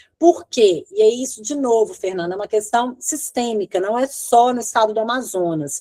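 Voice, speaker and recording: Here is a woman with an unremarkable speaking voice, fairly high in pitch and lively in intonation. She goes at a moderate pace in a dry, close sound with no echo. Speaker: law professor and research clinic coordinator. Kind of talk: lecture Q&A.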